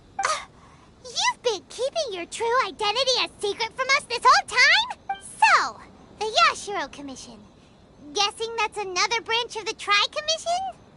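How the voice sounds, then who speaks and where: Music plays behind a put-on character voice at an extremely high pitch, delivered at a moderate pace. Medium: video game.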